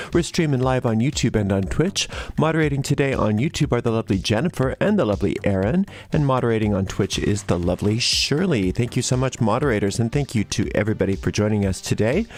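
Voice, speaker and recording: With an American accent, a man at medium pitch speaks very fast with lively intonation and very even loudness over noticeable background noise. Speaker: tarot reader. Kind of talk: live-streamed tarot reading. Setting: live stream.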